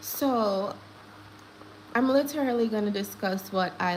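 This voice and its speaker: A woman in a Jamaican accent with lively intonation and a fairly slow pace, amid audible room echo and noticeable background noise. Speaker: gossip livestream host. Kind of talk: live stream commentary. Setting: live stream. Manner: animated.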